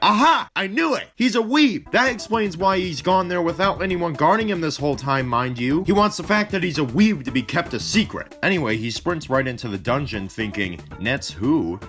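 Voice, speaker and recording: A man talks at a moderate pace in a high voice, with very wide pitch swings and hardly any pauses. Music plays in the background. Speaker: gaming video creator. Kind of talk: comedic video game review narration. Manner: sarcastic, joking.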